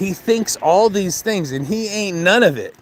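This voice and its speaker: A man speaks at a moderate pace in a high voice, with noticeable background noise. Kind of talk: casual talk to camera, trash-talk promo. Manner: confrontational, rambling.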